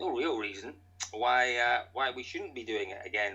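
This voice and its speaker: Amid noticeable background noise, a man speaks with a Scottish accent. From Scotland. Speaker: rally commentator. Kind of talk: podcast interview answer.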